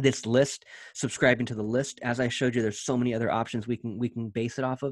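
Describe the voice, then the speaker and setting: A man talking at a very fast pace, with fairly even intonation, against a quiet background. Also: dry sound with no echo. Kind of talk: tutorial. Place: home room.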